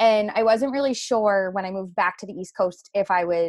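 In a Canadian Maritime accent, a woman speaks at a fairly quick pace and medium pitch. The background is quiet. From rural Nova Scotia, Canada. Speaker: naturopathic doctor. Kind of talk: interview conversation.

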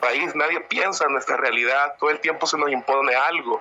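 A man with a fairly high voice talks over noticeable background noise. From El Salvador, San Miguel. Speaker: audience participant. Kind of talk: opinion comment.

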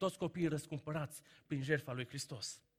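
A bright, sharp tone carries speech at a fairly quick pace. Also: man. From Romania, Banat (Caraș-Severin, Anina). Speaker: preacher. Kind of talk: sermon.

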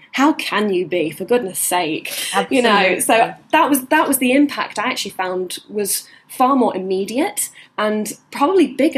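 A woman with an ordinary speaking voice, fairly high in pitch, with lively intonation at a moderate pace. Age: 20s. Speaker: cancer research scientist and former beauty queen. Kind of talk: interview.

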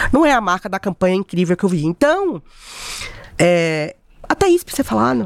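In an ordinary speaking voice, a woman talks at a fairly quick pace with lively intonation and a fairly low pitch. The sound is dry and close, with no echo. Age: 40s. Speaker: event producer and influencer. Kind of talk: podcast interview.

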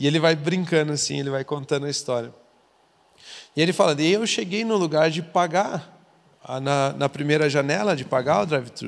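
Pausing often and at length, a man speaks at a moderate pace with a fairly high pitch and ordinary pitch variation. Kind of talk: casual chat.

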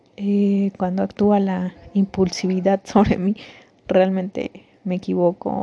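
A woman with a Mexican accent at a fairly slow pace. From Mexico. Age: 30s. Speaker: podcaster. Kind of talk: personal testimony. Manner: halting.

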